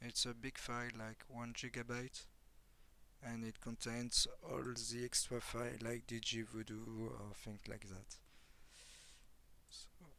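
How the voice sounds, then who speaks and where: Speaking with a strong French accent, a man at medium pitch uses a bright, sharp tone and monotone, flat intonation, going at a fairly slow pace with long, frequent pauses. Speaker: software developer. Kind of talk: software tutorial. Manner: halting, many fillers.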